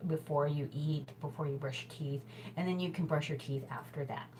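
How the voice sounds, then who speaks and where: Fairly even intonation in an American accent, with noticeable background noise. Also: woman. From US Midwest, Chicago. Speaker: hula hoop instructor and show host. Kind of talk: casual tutorial talk. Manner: chatty, full of fillers.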